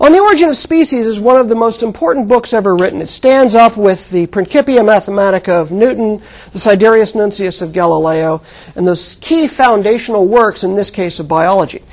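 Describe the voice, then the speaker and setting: With a plain, everyday voice, a woman talks at a medium pitch and a fairly quick pace in an American accent, her intonation lively. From US Southwest (Mojave Desert). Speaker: astronomy professor. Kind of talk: lecture.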